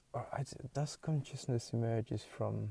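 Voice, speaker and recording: This man's voice is somewhat breathy, with a dark, mellow tone. His intonation stays fairly even at a moderate pace. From Hungary. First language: Hungarian. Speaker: podcaster. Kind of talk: casual monologue. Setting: in a car. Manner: halting.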